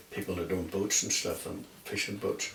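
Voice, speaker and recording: A man speaks with a Northern Irish accent. Room echo and background noise are both noticeable. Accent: Northern Irish (Ulster). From Northern Ireland, County Down (Dromore). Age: 70s. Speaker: oral history interviewee. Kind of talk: oral history interview. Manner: halting.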